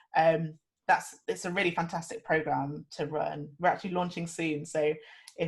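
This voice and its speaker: A woman talks at a fairly quick pace. Her voice is fairly low in pitch and somewhat breathy. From England (Nottingham). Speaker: lead software engineer. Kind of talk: panel talk on video call. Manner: enthusiastic.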